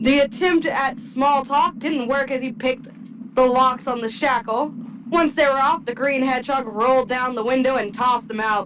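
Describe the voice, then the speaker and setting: A woman with a high pitch speaks at a moderate pace and ordinary pitch variation over noticeable background noise. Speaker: podcast host. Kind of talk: reading aloud.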